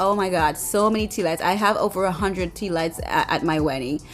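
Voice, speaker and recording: A woman's voice with ordinary pitch variation, faint music in the background. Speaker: bride and lifestyle vlogger. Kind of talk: casual video walkthrough; casual vlog chat. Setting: event venue. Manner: fast; halting, many fillers. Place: hall. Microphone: phone near.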